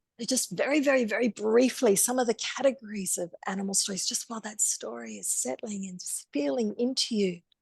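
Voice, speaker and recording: A woman talks at a fairly quick pace in a plain, everyday voice, fairly high in pitch, with hardly any pauses. Her intonation is lively, and her loudness swings widely. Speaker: storyteller and workshop teacher. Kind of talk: online masterclass lecture.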